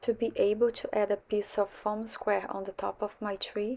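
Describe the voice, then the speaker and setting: Speaking with a Portuguese accent, a woman keeps a moderate pace. Her medium-pitched voice has a monotone, flat intonation. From Brazil. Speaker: card-making crafter. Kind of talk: tutorial narration.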